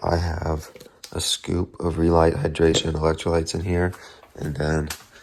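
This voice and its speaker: At a moderate pace, a man is whispering. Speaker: amateur marathon runner vlogger. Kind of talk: casual vlog talk to camera. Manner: casual, with fillers.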